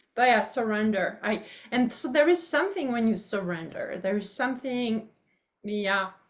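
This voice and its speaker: Lively intonation marks this woman's speech in a French accent. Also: fairly high pitch for a woman, moderate pace. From France, rural farm. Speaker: public speaker and author. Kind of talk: interview. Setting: video call. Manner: halting.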